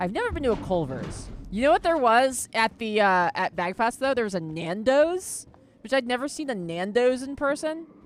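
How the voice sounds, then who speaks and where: A woman with a Philadelphia accent, high-pitched and animated, at a moderate pace with very wide pitch swings. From US Northeast, Philadelphia. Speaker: gaming streamer. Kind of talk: casual chat. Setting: live stream.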